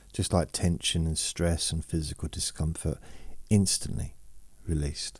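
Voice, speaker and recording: In a very clean recording with a silent background, a man speaks in a soothing, somewhat breathy tone at a very deep, low pitch. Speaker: podcaster who talks listeners to sleep and relaxation. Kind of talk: relaxation talk, slow monologue. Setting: home, dog under the table. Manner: relaxed, rambling, chatty; slow, soothing.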